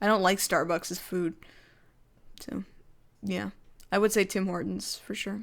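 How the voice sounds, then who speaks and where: A woman with a Canadian accent, medium pitch, ordinary pitch variation and vocal fry, at a fairly slow pace with long, frequent pauses, on a very clean recording with a silent background. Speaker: YouTuber. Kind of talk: livestream Q&A chat. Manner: casual, filler-heavy.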